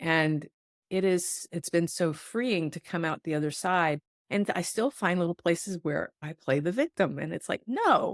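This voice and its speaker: With an unremarkable speaking voice, a woman speaks at a moderate pace and fairly low pitch, with ordinary pitch variation and a dry, close sound with no echo. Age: 60s. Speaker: podcast host, intuitive healer. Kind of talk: podcast interview.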